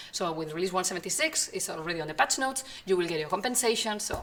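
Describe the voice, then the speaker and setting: A woman with a medium pitch talks very fast while background noise is noticeable. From Spain. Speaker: community manager for an online game. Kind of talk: live stream Q&A. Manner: hesitant with fillers.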